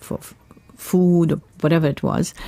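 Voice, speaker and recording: A woman speaks at a moderate pace in a fairly low, somewhat breathy voice with a dark, mellow tone and a dry, close sound with no echo. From Mumbai, India. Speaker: singer. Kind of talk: interview answer. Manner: chatty, storytelling.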